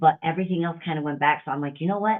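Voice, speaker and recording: A woman with an animated tone. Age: 40s. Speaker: fitness coach and bodybuilder. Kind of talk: podcast interview.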